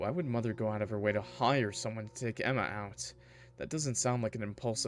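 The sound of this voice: It is an unforced reading voice. Nothing else is listed for this speaker.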